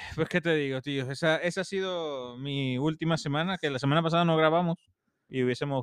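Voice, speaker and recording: This man's pitch is fairly high and his intonation fairly even. He talks at a fairly quick pace. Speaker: podcast co-host. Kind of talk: casual chat, storytelling.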